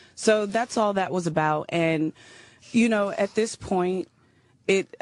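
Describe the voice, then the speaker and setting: The background is quiet as a woman speaks at a medium pitch. She goes at a fairly slow pace with ordinary pitch variation. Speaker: late comedian's partner. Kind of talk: radio interview. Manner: halting.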